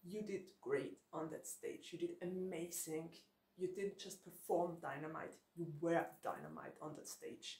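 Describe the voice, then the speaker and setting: A woman speaks at a fairly slow pace in a fairly low, somewhat breathy voice. Audible room echo surrounds her. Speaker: book vlogger. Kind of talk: casual vlog chat. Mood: cheerful, laughs often. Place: home room.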